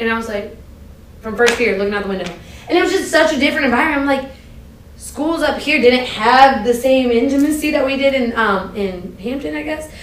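Over noticeable background noise, a woman speaks fairly quickly in a high voice. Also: lively intonation. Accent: American. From US East Coast. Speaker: university athletics administrator. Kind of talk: casual interview chat.

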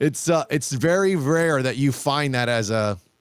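A man speaks in a plain, everyday voice at a medium pitch. His intonation is lively, and the recording is very clean with a silent background. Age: 40s. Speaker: shooting coach and competitive shooter. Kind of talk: casual chat.

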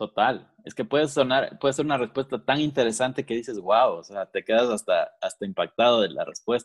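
A man talking at a fairly quick pace with hardly any pauses. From Quito, Ecuador. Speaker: podcast co-host, business owner. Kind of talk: casual chat.

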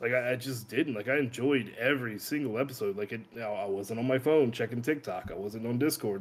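A man's plain, everyday voice at a medium pitch, with ordinary pitch variation. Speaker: guest. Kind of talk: casual chat. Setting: video call.

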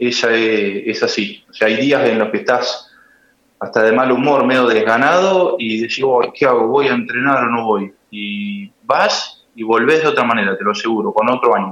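A man with an ordinary speaking voice, medium pitch, moderate pace and ordinary pitch variation. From Argentina, Buenos Aires province. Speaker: lawyer and amateur swimmer. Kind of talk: interview. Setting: phone call.

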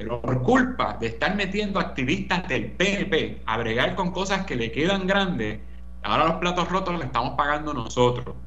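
A man with a Puerto Rican accent talks at a moderate pace. The recording has noticeable background noise and audible room echo. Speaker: political commentator. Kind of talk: radio commentary.

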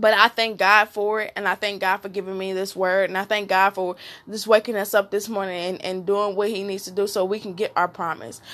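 Moderate pace and a bright, sharp tone. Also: woman. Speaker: solo devotional video speaker. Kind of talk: inspirational talk with prayer. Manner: repetitive, fervent.

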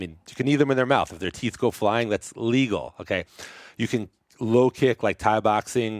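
A man speaks at a moderate pace with a normal speaking voice, medium pitch and ordinary pitch variation, in an American accent. The sound is dry and close with no echo, on a very clean recording with a silent background. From New York, Brooklyn. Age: 50s. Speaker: chiropractor. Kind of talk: casual interview chat.

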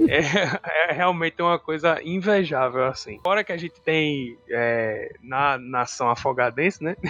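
This man has an unremarkable speaking voice, talking at a fairly slow pace with ordinary pitch variation and hardly any pauses. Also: fairly high pitch for a man. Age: 30s. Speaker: psychologist and tabletop RPG podcast co-host. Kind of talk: casual chat.

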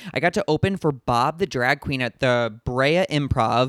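In a normal speaking voice with an American accent, a man with a fairly high pitch talks at a moderate pace with lively intonation, on a very clean recording with a silent background. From US Midwest, St. Louis Missouri. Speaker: podcast host and comedian. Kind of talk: casual chat; podcast intro monologue.

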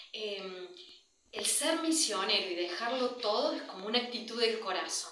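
A woman speaks in a fairly high voice with lively intonation. The room echo is audible and the background noise is noticeable. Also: moderate pace. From Argentina. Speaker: missionary nun. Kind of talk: testimony. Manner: halting.

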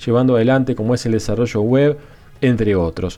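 With a dark, mellow tone, a man speaks at a fairly quick pace and ordinary pitch variation. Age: 30s. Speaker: podcast host. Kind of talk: casual monologue.

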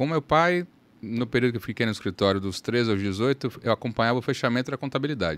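At a medium pitch, a man with an unremarkable speaking voice talks at a fairly quick pace with lively intonation. The recording is very clean with a silent background and a dry, close sound with no echo. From Salvador, Bahia, Brazil. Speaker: lawyer. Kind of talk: casual interview.

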